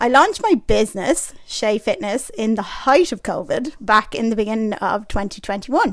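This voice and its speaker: In an Irish accent, a woman with a fairly high pitch talks at a moderate pace with lively intonation and hardly any pauses. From Ireland. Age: 30s. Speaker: personal trainer and podcast host. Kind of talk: podcast monologue. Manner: casual, chatty.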